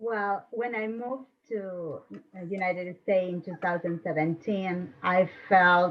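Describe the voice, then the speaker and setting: A woman with a non-native accent speaks at a fairly slow pace, her pitch varying in an ordinary way. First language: Spanish. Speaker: panelist, former newspaper editor. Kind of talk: panel discussion.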